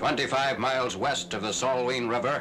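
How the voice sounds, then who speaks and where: Over noticeable background noise, a man talks at a fairly quick pace with a medium pitch. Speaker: newsreel narrator. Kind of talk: newsreel narration.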